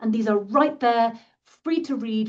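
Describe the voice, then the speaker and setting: A woman with a British accent speaks at a fairly slow pace, her somewhat breathy voice carrying lively intonation. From Britain. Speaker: science publishing professional. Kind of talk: interview.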